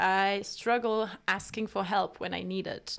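A woman speaks with a French accent at medium pitch and a moderate pace, her pitch varying in an ordinary way. The recording is very clean with a silent background. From France. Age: 20s. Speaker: podcast host. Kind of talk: casual monologue. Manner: halting.

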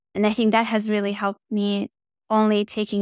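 A woman at a medium pitch, monotone and flat in intonation, at a fairly quick pace, in a dry, close sound with no echo. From Russia, then Germany. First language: Russian. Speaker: flight test engineer. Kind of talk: casual interview. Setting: video call.

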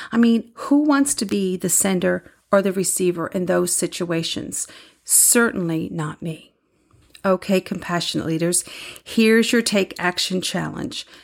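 An ordinary speaking voice moves at a fairly slow pace in a very clean recording with a silent background. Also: woman, medium pitch for a woman, ordinary pitch variation. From Newfoundland, Canada. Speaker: podcast host, leadership coach and speaker. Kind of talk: solo podcast monologue. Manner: conversational, warm.

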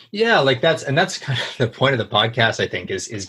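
A man with a Canadian accent has an unremarkable speaking voice. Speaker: podcast host, entrepreneur. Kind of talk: casual interview chat.

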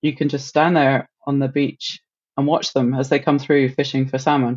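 A woman with a very deep, low pitch and monotone, flat intonation. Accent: British. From UK. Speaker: marine mammal researcher. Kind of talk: casual interview chat.

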